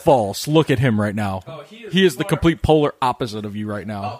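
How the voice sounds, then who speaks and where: Medium-pitched male voice with very wide pitch swings, a fairly quick pace and noticeable background noise. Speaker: podcast guest, host of another podcast. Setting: in-person group recording at a house.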